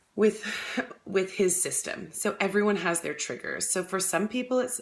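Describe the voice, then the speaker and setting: A woman talks at a moderate pace and a medium pitch, with ordinary pitch variation. Background noise is noticeable. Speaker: holistic health coach. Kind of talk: casual talk to camera. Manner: hesitant fillers.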